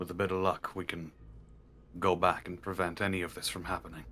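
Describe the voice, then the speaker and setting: In a put-on character voice, a man speaks at a very deep, low pitch, fairly quickly and in a flat monotone, over clear background noise. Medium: actual play. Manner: earnest, resolute.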